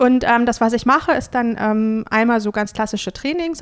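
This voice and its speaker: A woman talks at a fairly quick pace in an ordinary speaking voice, her fairly high pitch showing ordinary variation. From Hesse, Germany (Bad Homburg). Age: 30s. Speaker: self-employed trainer. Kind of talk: interview.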